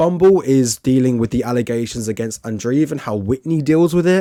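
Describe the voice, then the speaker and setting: With a British accent, a man speaks fairly quickly in a dark, mellow tone and lively intonation. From Britain. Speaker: film reviewer. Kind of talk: film review monologue.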